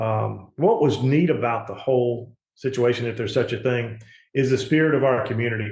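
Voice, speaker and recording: With a Mississippi accent, a man speaks fairly quickly at medium pitch, his voice somewhat breathy and his intonation fairly even. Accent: Southern US (Mississippi). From US South, Gulfport, Mississippi. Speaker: politician and insurance agent. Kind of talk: interview. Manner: halting, many fillers.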